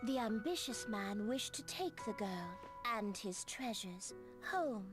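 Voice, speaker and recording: This is a put-on character voice at a moderate pace. Clear music plays in the background. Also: female-sounding voice. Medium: video game. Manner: measured, portentous, cryptic.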